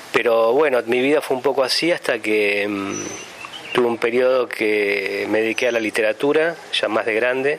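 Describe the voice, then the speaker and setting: Amid noticeable background noise, a man speaks at a moderate pace with fairly even intonation and very even loudness. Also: medium pitch for a man. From Argentina, La Pampa (Santa Rosa). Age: 40s. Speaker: sculptor. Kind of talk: interview testimony. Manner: hesitant, many fillers and repetitions.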